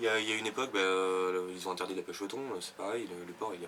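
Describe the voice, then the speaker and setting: Very fast speech from a man with a fairly low pitch, over noticeable background noise. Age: 20s. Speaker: fisherman. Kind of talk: interview. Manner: hesitant, many fillers.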